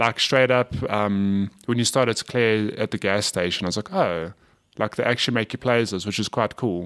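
In a normal speaking voice, a man talks at a moderate pace with fairly low pitch and fairly even intonation, recorded very cleanly against a silent background with a dry, close sound and no echo. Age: 30s. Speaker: gaming podcast co-host. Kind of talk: casual chat.

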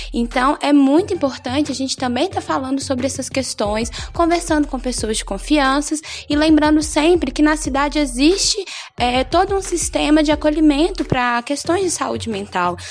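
The intonation is lively. The pace is moderate. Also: woman, high pitch for a woman. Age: 20s. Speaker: nursing student. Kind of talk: health advice on local radio. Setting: radio studio.

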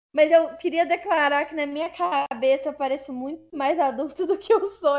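With hardly any pauses and big swings in loudness, a woman speaks at a moderate pace in a high pitch with ordinary pitch variation. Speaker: podcast host. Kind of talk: casual chat.

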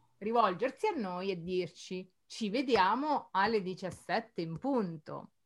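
Very slow speech from a woman at medium pitch, with lively intonation. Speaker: Italian teacher, podcast co-host. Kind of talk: casual chat.

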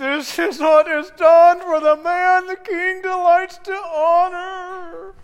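A put-on character voice speaks at a very slow pace. The pitch is extremely high, with hardly any pauses. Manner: through gritted teeth.

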